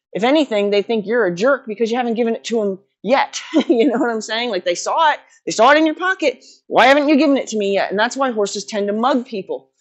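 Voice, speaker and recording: In a quiet background, a woman talks very fast at a fairly high pitch. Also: lively intonation. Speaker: horse trainer. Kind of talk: casual talk to camera. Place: farm machine.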